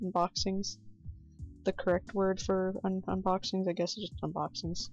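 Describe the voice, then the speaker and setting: A woman's fairly low-pitched voice, with music in the background. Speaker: art streamer. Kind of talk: casual live stream chat while drawing. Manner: halting, repeats words.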